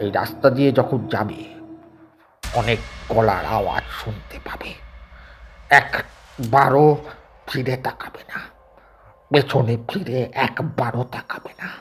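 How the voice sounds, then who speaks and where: A man's raspy, put-on character voice at medium pitch, fairly slow, with big swings in loudness and music in the background. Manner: stammering, urgent.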